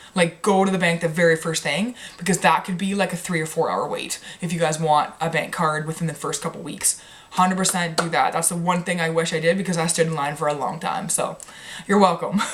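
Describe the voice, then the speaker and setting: The speaker talks at a fairly quick pace in a Canadian accent, with monotone, flat intonation. Noticeable background noise is present. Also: woman, fairly low pitch for a woman. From Canada. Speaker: medical student vlogger. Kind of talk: casual vlog advice. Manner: fast.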